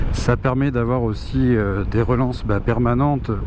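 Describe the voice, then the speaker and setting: Moderate pacing with audible room echo and noticeable background noise. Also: man. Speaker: motorcycle reviewer. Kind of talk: riding review commentary. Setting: riding a scooter outdoors on road. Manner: hesitant, many fillers.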